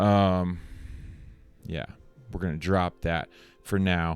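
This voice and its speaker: A soft-spoken man talks with music in the background. The sound is dry and close, with no echo. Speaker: motivational speaker. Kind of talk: motivational speech to camera. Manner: shifts between intense and soft, varied speeds.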